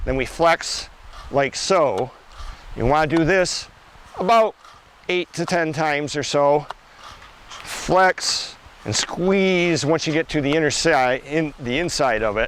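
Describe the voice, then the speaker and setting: Over noticeable background noise, a man with a fairly high pitch speaks at a very slow pace, with ordinary pitch variation and long, frequent pauses. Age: 60s. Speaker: fitness instructor. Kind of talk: tutorial. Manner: casual, halting with fillers.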